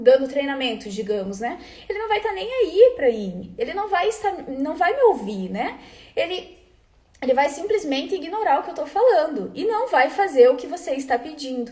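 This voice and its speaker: A woman's dark, mellow voice with very wide pitch swings, at a moderate pace. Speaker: food quality trainer. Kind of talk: live webinar talk. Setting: live stream.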